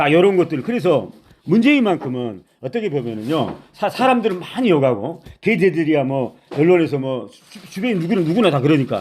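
Very wide pitch swings from a fairly high male voice. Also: moderate pace. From Honam (Jeolla), South Korea. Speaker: political YouTuber. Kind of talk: political commentary monologue. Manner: animated.

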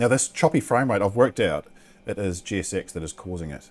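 With a slight New Zealand accent, a man speaks in a fairly low pitch. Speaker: flight simulator YouTuber narrating gameplay. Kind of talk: gameplay commentary. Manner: casual, chatty commentary. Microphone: headset.

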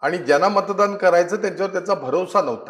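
The speaker is a man with a high pitch. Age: 50s. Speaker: politician. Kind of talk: interview.

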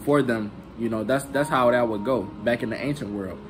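A man talks at a fairly quick pace while music plays in the background. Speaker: bible teacher. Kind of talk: casual scripture teaching. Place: home room. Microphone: phone near.

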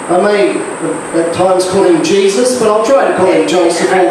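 A man's high voice at a fairly quick pace, with ordinary pitch variation, strong room echo, and noticeable background noise. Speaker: pastor. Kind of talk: sermon and notices. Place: church.

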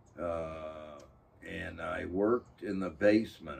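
A man speaks very slowly in a very deep, low voice that is somewhat breathy. Light background noise can be heard. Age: 80s+. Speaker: artist. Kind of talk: interview. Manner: halting. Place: workshop.

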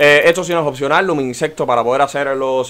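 A man talks at a very fast pace in a fairly high pitch for a man. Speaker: gaming youtuber. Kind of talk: gameplay tutorial.

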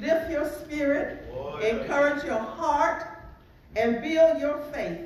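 The clip carries light background noise along with audible room echo. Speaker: church announcer and scripture reader. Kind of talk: welcome and scripture reading. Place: church. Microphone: podium.

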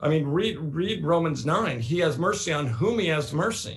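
Against a quiet background, a man with an American accent talks at a fairly slow pace, his fairly high pitch making very wide swings and carrying vocal fry. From Oregon, US. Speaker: New Testament professor; guest. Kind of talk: interview. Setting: video call. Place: home room. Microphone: video call.

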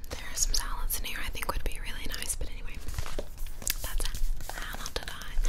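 A fairly quick-paced woman's voice. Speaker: ASMR creator. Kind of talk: ASMR cookbook review. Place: home room. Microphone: studio mic.

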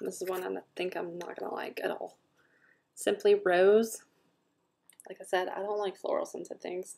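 A woman at a moderate pace, with a Southern US accent. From US South. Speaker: scent product consultant and video host; product reviewer. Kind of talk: product review; casual vlog chat. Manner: casual, filler-heavy. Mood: relaxed, frank opinions. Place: home room. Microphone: webcam.

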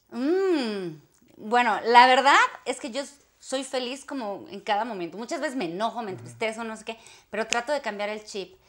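A woman speaks at a moderate pace in a fairly high pitch. Her intonation is lively and her loudness swings widely. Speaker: actress. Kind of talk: interview. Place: home room.

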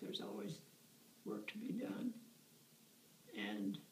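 Someone with an American accent speaks at a fairly slow pace with very wide pitch swings, amid audible room echo and light background noise. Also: woman. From Iowa, USA. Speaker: elder recalling her life. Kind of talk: interview answer. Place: home room. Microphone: phone near.

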